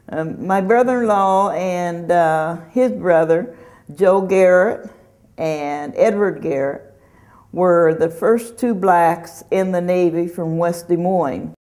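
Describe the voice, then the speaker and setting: In an American accent, a woman with a fairly low pitch and ordinary pitch variation speaks at a very slow pace, with audible room echo around her. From Kansas, US Midwest. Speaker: community worker. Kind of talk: oral history interview. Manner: halting, with fillers.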